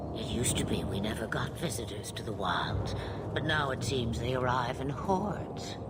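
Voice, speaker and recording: Whispering in a put-on character voice at a moderate pace, the speaker is heard over loud background noise. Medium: machinima. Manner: amused, cryptic, frequently laughing.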